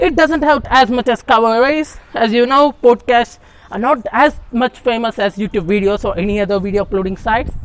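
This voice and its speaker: A woman's fairly high voice in a non-native accent, fairly quick with hardly any pauses and ordinary pitch variation. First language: not English. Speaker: podcaster. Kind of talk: solo monologue podcast. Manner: halting.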